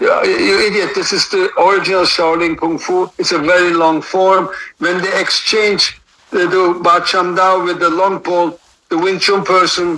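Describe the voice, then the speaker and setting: This man speaks in a raised, projected voice at a high pitch and a moderate pace. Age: 60s. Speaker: martial arts master. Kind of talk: interview. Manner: animated.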